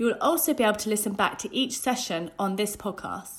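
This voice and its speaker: Over a very clean recording with a silent background, a woman with a medium pitch and a somewhat breathy voice talks at a fairly quick pace with lively intonation. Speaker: announcer. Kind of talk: scripted intro and outro.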